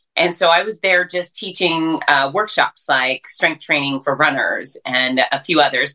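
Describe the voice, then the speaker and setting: At a fairly slow pace, a woman uses an ordinary speaking voice, fairly low in pitch with ordinary pitch variation. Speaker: fitness writer. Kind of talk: casual chat.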